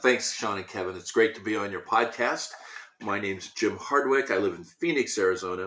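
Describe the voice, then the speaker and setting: A man with a Midwestern American accent talks at a fairly quick pace with ordinary pitch variation. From US Midwest, Indiana (Speedway). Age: 60s. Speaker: sales consultant. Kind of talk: podcast interview.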